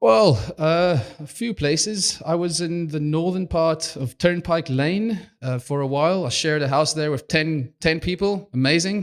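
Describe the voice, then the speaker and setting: A fairly high-pitched male voice in a South African accent, moving at a fairly slow pace. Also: ordinary pitch variation. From South Africa, Cape Town. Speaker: video production manager. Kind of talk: podcast interview. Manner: halting.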